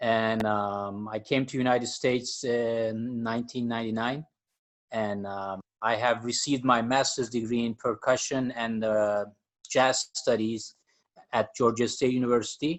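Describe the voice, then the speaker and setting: The man's intonation is monotone and flat. His pitch is medium. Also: moderate pace. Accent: Turkish. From Turkey. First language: Turkish. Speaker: jazz percussionist and music professor. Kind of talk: podcast interview. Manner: hesitant, many fillers.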